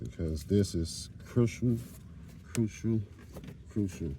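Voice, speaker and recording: Somewhat breathy and dark, mellow in tone, a man speaks very slowly at a fairly low pitch with ordinary pitch variation. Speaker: car repair youtuber. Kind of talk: tutorial. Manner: casual, conversational.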